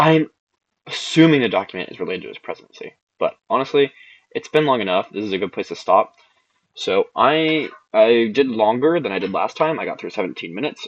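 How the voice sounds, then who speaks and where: Here a man talks at a fairly quick pace. His loudness swings widely. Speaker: YouTuber fact-checking a political rally. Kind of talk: casual video commentary.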